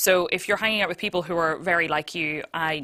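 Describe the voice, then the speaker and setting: A woman speaks loudly and very fast, her pitch fairly low for a woman. Her tone is bright and sharp, her intonation fairly even, and the recording is very clean with a silent background. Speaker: streamer. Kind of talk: panel discussion.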